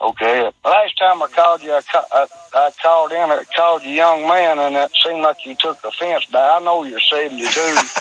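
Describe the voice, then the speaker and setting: A man with an American accent speaks at a moderate pace in a fairly high pitch, his intonation fairly even. The sound is dry and close with no echo, though background noise is noticeable. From Kentucky, US South. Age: 50s. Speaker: caller. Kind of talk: phone-in question. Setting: phone call. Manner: halting, stammering.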